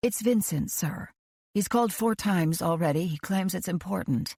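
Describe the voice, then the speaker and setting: A growling, put-on character voice, female-sounding, at a middle pitch and a moderate pace. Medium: read story. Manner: patient, formal.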